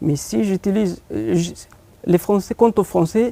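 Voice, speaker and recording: A man with a Horn of Africa accent speaks at a very slow pace in a high, dark, mellow voice, with a dry, close sound and no echo. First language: Afar (speaking French). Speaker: poet and short story writer. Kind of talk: TV interview. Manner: halting, frequent hesitations.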